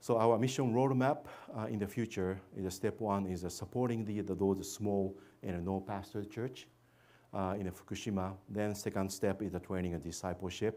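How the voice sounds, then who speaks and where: A dark, mellow tone with fairly even intonation, in a very clean recording with a silent background. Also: man, fairly low pitch for a man, moderate pace. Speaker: missionary. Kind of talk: church presentation. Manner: halting, many fillers.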